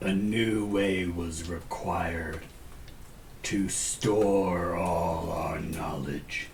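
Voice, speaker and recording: Over clear background noise, a man puts on a character voice with a very deep, low pitch at a very slow pace. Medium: actual play. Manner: terse, clipped, imperious.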